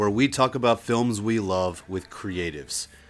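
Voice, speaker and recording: Music plays in the background. Over it, a man talks in an American accent. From Delaware, US. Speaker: film podcast host. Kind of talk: casual chat.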